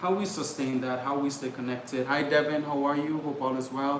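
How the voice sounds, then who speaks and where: At a fairly quick pace, a speaker with an American accent talks in a monotone, flat intonation, with audible room echo and noticeable background noise. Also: man. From Trinidad and Tobago. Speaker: travel vlogger. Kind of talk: casual livestream chat. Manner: fast.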